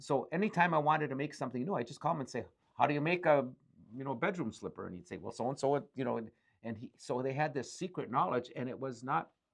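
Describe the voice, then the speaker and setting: A man with an Upper Midwest accent talks at a very fast pace. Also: ordinary pitch variation. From Ironwood, Michigan. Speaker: business owner. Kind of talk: interview answer. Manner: casual, conversational.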